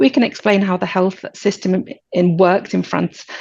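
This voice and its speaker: A woman speaks with a British accent at a medium pitch. Her tone is dark and mellow, and her pace is fairly quick. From Britain. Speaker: insurance agency director. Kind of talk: webinar presentation. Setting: webinar.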